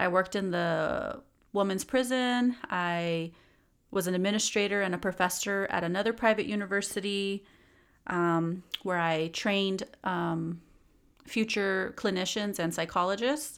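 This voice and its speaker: Fairly slow speech with a Californian accent. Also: woman, medium pitch for a woman, ordinary pitch variation. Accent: Californian American English. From US West, Los Angeles area. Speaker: podcast host and psychologist. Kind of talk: solo podcast monologue. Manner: casual, conversational with fillers.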